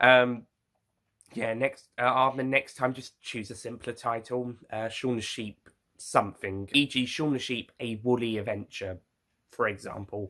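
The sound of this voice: The tone is fairly bright. Intonation stays fairly even. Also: man.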